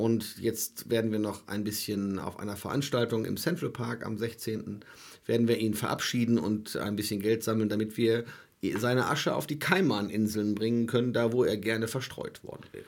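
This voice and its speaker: A man talks in a normal speaking voice at medium pitch and a moderate pace, with fairly even intonation. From Germany. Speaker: soul festival promoter. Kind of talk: casual chat. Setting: studio.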